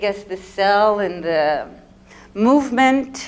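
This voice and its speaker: With a Quebec French accent, a woman speaks very slowly at a medium pitch, her pitch varying in an ordinary way. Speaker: visual artist. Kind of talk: artist talk. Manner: casual, hesitant.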